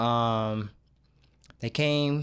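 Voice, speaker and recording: A man speaks in a plain, everyday voice at medium pitch. He has an American accent. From Michigan, Grand Rapids. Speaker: director of a recovery program. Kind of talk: casual chat.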